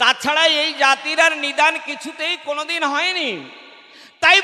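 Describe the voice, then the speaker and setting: A raised, projected voice from a man, his pitch swinging very widely, with noticeable background noise. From India, Odisha (Malkangiri), Bengali-speaking. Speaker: religious speaker, government employee. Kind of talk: devotional discourse at religious gathering.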